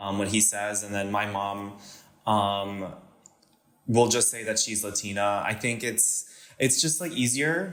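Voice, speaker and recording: With a Californian accent, the speaker goes at a fairly slow pace with ordinary pitch variation and long, frequent pauses, in audible room echo. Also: man, fairly low pitch for a man. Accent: sounds Californian. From Panama and US (military moves). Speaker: podcast guest. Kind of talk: casual interview chat. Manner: hesitant, many fillers.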